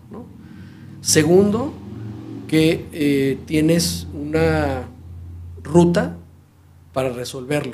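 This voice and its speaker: A man speaks at a very slow pace with long, frequent pauses in a dark, mellow, somewhat breathy tone. His pitch swings very widely, and audible room echo surrounds him. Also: fairly high pitch for a man. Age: 40s. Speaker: fintech entrepreneur. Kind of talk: interview. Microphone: audio problems in first 15 minutes.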